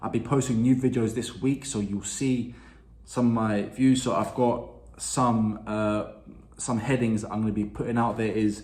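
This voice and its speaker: Somewhat breathy, a man speaks with audible room echo around him. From London, England. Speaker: YouTube reactor. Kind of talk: casual video intro.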